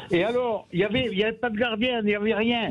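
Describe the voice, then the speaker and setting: This man speaks at a high pitch. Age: 80s+. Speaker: caller. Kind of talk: radio call-in. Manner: animated; halting.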